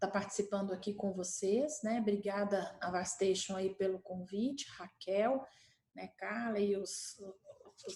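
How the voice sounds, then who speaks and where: A woman talks at a very slow pace in a medium pitch. Her pitch rises and falls in an ordinary way. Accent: Minas Gerais. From Minas Gerais, Brazil. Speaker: healthcare company executive. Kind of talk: panel talk presentation.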